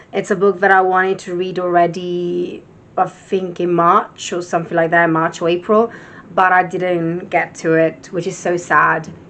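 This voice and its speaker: With an Italian accent, a woman speaks at a moderate pace with a fairly low pitch. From Italy. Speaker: book vlogger. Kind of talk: casual vlog chat.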